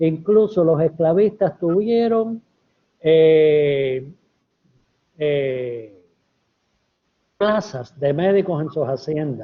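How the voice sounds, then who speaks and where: A man talks very slowly, leaving long, frequent pauses. His intonation is lively. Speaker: epidemiologist and medical historian. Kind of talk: academic lecture Q&A.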